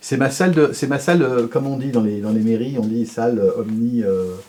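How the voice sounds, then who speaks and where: At a moderate pace, a man speaks at medium pitch with lively intonation. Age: 60s. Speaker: sculptor. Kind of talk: interview. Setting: home workshop. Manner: halting, many fillers.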